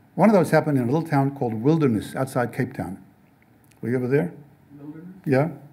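Dark and mellow in tone, a voice with an American accent rushes along at a very fast pace with ordinary pitch variation, big swings in loudness and long, frequent pauses. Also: man, fairly high pitch for a man. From South Africa. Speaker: novelist and speaker; speaker. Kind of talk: talk with audience Q&A. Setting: stage with audience. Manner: halting, many repetitions. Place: classroom. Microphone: podium.

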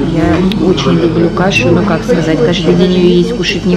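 A woman speaks at a moderate pace. Loud music plays in the background. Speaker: family travel vlogger. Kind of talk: casual vlog chat. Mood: cheerful, chatty.

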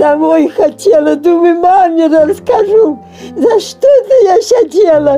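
A woman's extremely high, lively voice at a very slow pace, with faint music in the background. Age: 80s+. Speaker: Gulag survivor; interviewee. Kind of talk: testimony. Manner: halting. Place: home room.

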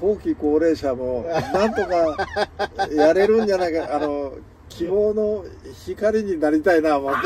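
In a dry sound with no echo but noticeable background noise, a high-pitched man speaks at a fairly slow pace with ordinary pitch variation. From Hiroshima, Japan. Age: 70s. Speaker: solo yachtsman. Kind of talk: interview answer. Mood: cheerful, smiling. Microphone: phone near.

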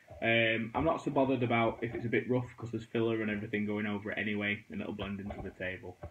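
A man with a British accent speaks at a very fast pace and medium pitch. He hardly pauses at all. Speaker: wargaming terrain crafter and painter. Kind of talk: tutorial. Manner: casual, chatty.

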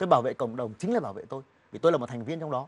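The pitch swings very widely. The speaker is a man. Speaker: journalist; talk show guest. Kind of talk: TV interview. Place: studio. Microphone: lapel.

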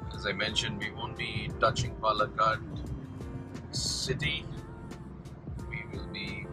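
With music playing in the background, a man speaks with long, frequent pauses. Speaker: travel vlogger driving. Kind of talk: travel commentary. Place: car.

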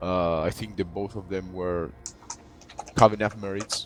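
Speaking with a non-native accent, a man goes at a fairly slow pace with fairly even intonation. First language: not English. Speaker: gaming clan officer. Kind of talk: community meeting update. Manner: halting, many repeated words.

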